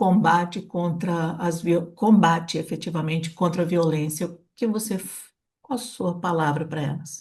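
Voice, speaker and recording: Somewhat breathy woman's voice at a medium pitch and moderate pace, against a quiet background. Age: 70s. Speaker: podcast host. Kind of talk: interview conversation.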